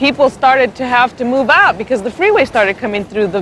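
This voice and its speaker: Lively intonation at a fairly quick pace, over noticeable background noise. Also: woman. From San Diego, California (Logan Heights). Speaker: community resident interviewee. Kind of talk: documentary interview.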